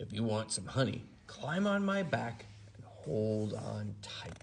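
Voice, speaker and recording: A man puts on a growling character voice at a medium pitch. He goes at a fairly slow pace, with clear background noise behind him. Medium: read story.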